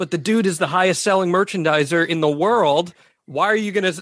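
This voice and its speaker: A man's high voice at a fairly quick pace, ordinary in pitch variation, with a dry, close sound and no echo. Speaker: podcast host. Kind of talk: podcast hosting with ad reads.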